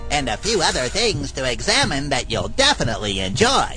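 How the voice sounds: Using a cartoonish character voice, a man talks at a fairly quick pace with clear music in the background.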